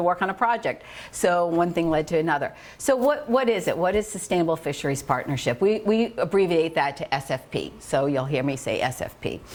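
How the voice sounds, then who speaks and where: Against noticeable background noise, the voice sounds animated, with lively intonation. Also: woman. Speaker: marine conservationist. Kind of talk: public lecture. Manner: loud. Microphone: no microphone at first.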